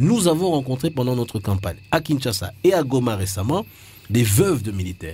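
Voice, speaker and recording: Somewhat breathy, a man at a medium pitch moves through very wide pitch swings. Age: 40s. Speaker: presidential candidate. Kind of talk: radio interview. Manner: halting, frequent repetitions.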